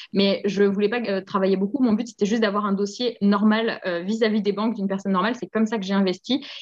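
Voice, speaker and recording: A woman of medium pitch talks very fast. Her tone is energetic. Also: hardly any pauses. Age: 30s. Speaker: physiotherapist and property investor. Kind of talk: interview.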